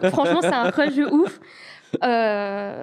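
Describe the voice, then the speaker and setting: A woman with a Belgian accent speaks at a fairly slow pace in a high pitch, with lively intonation. The recording is very clean, with a silent background. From Belgium. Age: 20s. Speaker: home help worker telling a story on a call-in show. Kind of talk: storytelling. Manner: hesitant, many fillers.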